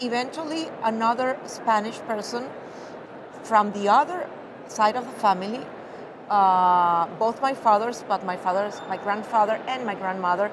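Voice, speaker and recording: A fairly high female voice at a moderate pace, ordinary pitch variation, and noticeable background noise. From Venezuela. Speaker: mycologist. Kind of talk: interview answer.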